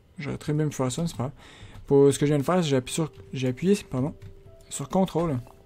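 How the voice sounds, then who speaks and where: Music runs in the background while someone talks fairly quickly. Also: man. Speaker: gaming YouTuber. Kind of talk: let's play commentary. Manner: fast.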